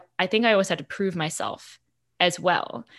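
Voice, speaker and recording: A woman with a normal speaking voice talks at a medium pitch and a moderate pace. The recording is very clean, with a silent background. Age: 30s. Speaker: sales consultant. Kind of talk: podcast interview.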